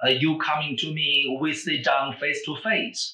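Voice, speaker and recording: At a fairly slow pace, a man with a Chinese accent speaks at a fairly high pitch. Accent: Mandarin Chinese accent in English. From Beijing, China. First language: Mandarin Chinese. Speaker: language professor. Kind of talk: interview.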